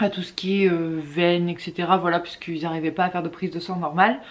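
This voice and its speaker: The speaker is a woman whose pitch sits fairly low. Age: 20s. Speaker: mother of two, YouTuber. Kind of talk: casual talk to camera.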